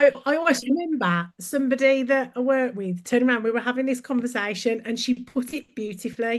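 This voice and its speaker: A woman's high, animated voice in a Birmingham accent at a very fast pace. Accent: Brummie. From Birmingham, England. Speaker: brand consultant. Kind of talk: podcast interview.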